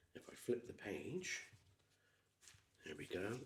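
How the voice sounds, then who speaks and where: Soft-spoken, a man talks in a Gloucestershire accent. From England. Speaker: ASMR creator. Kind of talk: ASMR build chat. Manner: soft-spoken, methodical.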